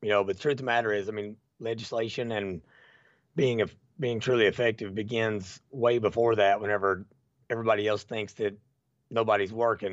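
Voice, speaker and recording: A man with an Appalachian accent, fairly low in pitch and fairly even in intonation, at a fairly quick pace broken by long, frequent pauses. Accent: Appalachian Kentucky. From eastern Kentucky, Bell County. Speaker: citizen activist. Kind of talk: casual interview chat.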